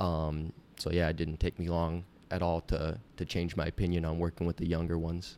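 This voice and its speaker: A man with an American accent, very deep and low in pitch, monotone and flat, at a fairly quick pace in a very clean recording with a silent background. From US Midwest, Iowa. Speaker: swim coach. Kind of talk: interview. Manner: not loud.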